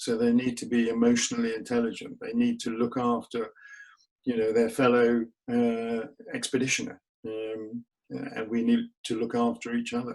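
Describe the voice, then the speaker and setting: A man talks at a moderate pace with a London accent. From England, north London. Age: 50s. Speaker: polar explorer. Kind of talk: interview. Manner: halting, many fillers.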